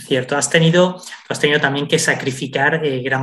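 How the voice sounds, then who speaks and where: A man's fairly high voice at a moderate pace. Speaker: radio podcast host. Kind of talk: interview.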